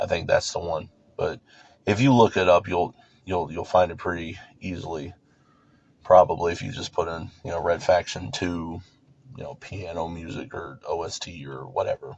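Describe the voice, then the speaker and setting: Very deep and low in pitch, a man speaks at a moderate pace, somewhat breathy, with ordinary pitch variation, big swings in loudness, and long, frequent pauses. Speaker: youtuber. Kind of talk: casual monologue vlog.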